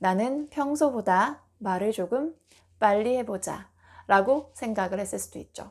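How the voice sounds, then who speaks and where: A woman with a fairly high pitch and lively intonation speaks at a very slow pace in a very clean recording with a silent background. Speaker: speech coach. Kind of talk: tutorial. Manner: measured, trustworthy delivery.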